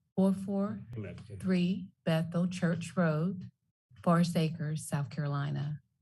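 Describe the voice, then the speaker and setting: A woman speaks at a fairly slow pace in a dark, mellow, somewhat breathy tone. The background is quiet. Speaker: nonprofit founder, public commenter. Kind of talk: public comment at council meeting. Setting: council chamber. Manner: soft-spoken.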